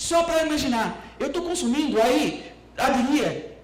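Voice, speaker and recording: A man's speech carries audible room echo, with noticeable background noise as well. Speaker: respiratory protection specialist, event speaker. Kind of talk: presentation at a public debate event.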